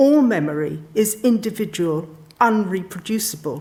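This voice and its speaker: With a southern English accent, a woman speaks at a medium pitch in a somewhat breathy voice. Her pitch swings very widely. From London, England. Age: 60s. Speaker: sociologist. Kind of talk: public talk. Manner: formal.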